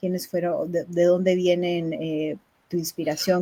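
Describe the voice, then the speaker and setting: A woman's fairly low voice, dark and mellow in tone, at a moderate pace. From Nicaragua. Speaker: poetry book presenter and interviewer. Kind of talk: live-streamed book launch interview.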